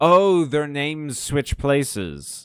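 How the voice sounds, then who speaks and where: Music plays in the background as a man speaks at a medium pitch. His pace is very slow. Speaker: video game streamer. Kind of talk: casual live gameplay commentary. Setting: live stream. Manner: sounds sarcastic.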